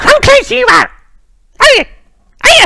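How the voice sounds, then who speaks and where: A put-on character voice at an extremely high pitch. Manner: shrieking, hissing.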